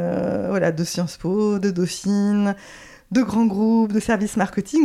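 A woman's dark, mellow tone comes through as she talks at a fairly slow pace. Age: 50s. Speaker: astrology coach. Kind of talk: interview conversation. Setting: at the guest's home.

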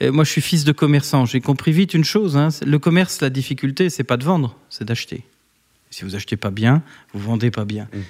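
In a very clean recording with a silent background, a man talks at a fairly quick pace, his fairly high pitch carrying lively intonation. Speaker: company director and former politician. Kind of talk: interview. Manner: hesitant, many fillers.

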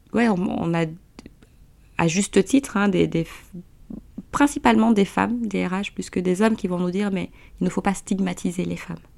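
A woman at a medium pitch speaks at a moderate pace with ordinary pitch variation and vocal fry, leaving long, frequent pauses. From Guinea. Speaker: entrepreneur. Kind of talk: interview.

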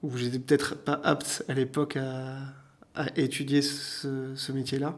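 This is a man talking at a medium pitch. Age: 30s. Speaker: leather care artisan and shop owner. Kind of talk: interview. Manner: halting, many fillers.

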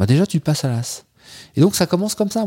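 A man's somewhat breathy voice with a dark, mellow tone and very wide pitch swings, dry and close with no echo on a very clean, silent background. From France, Troyes (Aube). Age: 40s. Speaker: polar explorer and diving instructor. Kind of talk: casual interview chat. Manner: animated, joking.

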